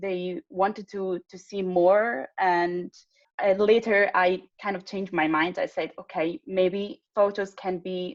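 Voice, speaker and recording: At a very slow pace, a woman with an Italian accent speaks at a medium pitch with ordinary pitch variation, in a dry, close sound with no echo. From Italy. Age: 20s. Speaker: patient advocate. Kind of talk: casual chat. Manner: halting.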